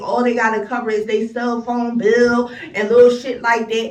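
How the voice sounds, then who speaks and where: With an American accent, a woman speaks at a moderate pace in a fairly high pitch and an animated tone, amid noticeable background noise and audible room echo. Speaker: vlogger. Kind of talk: angry rant vlog.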